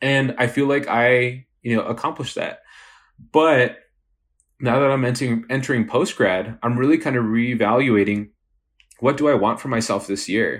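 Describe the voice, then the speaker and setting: A man with an ordinary speaking voice talks at medium pitch and a moderate pace, his intonation fairly even. The recording is very clean, with a silent background. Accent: American. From west Texas, El Paso. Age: 20s. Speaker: wedding photographer and business owner. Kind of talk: casual interview.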